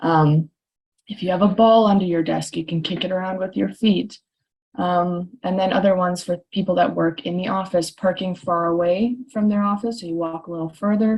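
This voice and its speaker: At a moderate speed and with fairly even intonation, a woman's voice comes out somewhat breathy. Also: medium pitch for a woman. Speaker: chiropractor. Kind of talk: webinar presentation. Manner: frequent filler ums.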